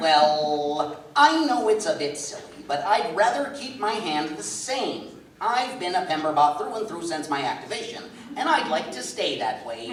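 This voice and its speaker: A put-on character voice at a middle pitch, swinging very widely up and down, with clear background noise and a slight echo. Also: moderate pace. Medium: stage play. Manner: polite, formal.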